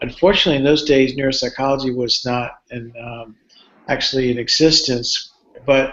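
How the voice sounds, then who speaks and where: A man's medium-pitched voice in a Cuban-American accent, monotone and flat, at a fairly quick pace. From Cuba, moved to US at eight and a half. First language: Spanish. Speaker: neuropsychology professor. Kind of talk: live Q&A talk. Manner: halting, with frequent fillers and repeats.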